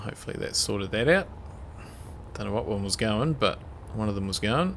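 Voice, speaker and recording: The speaker mumbles at a fairly quick pace. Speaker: gaming streamer. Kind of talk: casual live gameplay commentary. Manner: mumbling.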